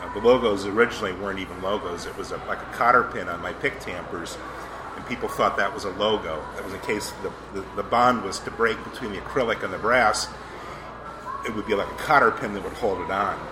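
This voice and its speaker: A man speaks very fast at a fairly low pitch, with fairly even intonation and big swings in loudness. Noticeable background noise runs underneath. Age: 40s. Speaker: pipe accessory artisan, former lawyer. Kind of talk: casual interview. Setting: restaurant with background noise. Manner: hesitant, with fillers.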